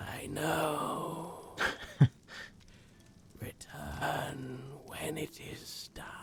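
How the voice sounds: A man whispering in a put-on character voice at a very slow pace, with long, frequent pauses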